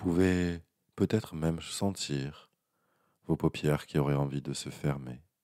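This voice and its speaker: A soft-spoken man talks at a very slow pace in a calm, dark, mellow tone, his intonation fairly even, and the sound is dry and close with no echo. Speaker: hypnotherapist. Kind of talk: guided hypnosis. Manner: soft, calm.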